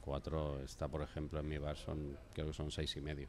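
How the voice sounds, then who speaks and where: A man with a very deep, low pitch and monotone, flat intonation at a moderate pace, with light background noise. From Spain. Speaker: craft brewery manager; guest. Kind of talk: beer tasting conversation. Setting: studio. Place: studio. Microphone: studio mic.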